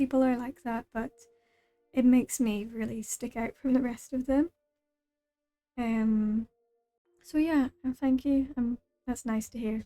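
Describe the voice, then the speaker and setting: Soft-spoken and high-pitched, a woman talks at a fairly slow pace with fairly even intonation and long, frequent pauses, in a dry, close sound with no echo and music in the background. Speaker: VTuber streamer. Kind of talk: casual gaming livestream chat. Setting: livestream. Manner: soft-spoken, quiet.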